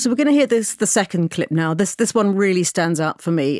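A woman with a British accent on a very clean recording, silent in the background, dry and close with no echo. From Britain. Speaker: podcast producer. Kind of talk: casual chat.

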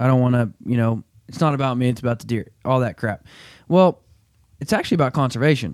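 A man with a Southern US accent talks at a very fast pace and medium pitch. His pitch varies in an ordinary way on a very clean recording with a silent background. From southern Arkansas. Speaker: podcast host. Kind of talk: casual chat; ad read.

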